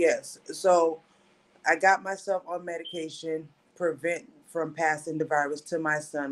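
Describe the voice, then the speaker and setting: A woman speaks with an American accent at a very deep, low pitch. Her intonation stays fairly even. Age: 40s. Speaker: HIV and mental health advocate. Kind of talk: testimony. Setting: livestreamed podcast.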